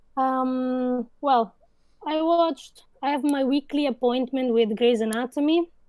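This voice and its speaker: A woman with an Italian accent speaks at a fairly slow pace in a high pitch with ordinary variation and a dark, mellow tone, the sound dry and close with no echo. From Italy. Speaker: video editor, podcast guest. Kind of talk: casual chat.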